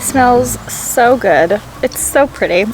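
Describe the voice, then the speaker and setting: A woman with a fairly high pitch, over noticeable background noise. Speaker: homemaking vlogger. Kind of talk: casual vlog talk. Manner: soft-spoken.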